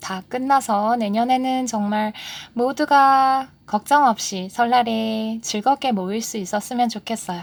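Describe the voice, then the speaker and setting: Her pace is very slow, and her pitch is fairly high with ordinary pitch variation. The woman's recording is very clean, with a silent background. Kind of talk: casual book talk.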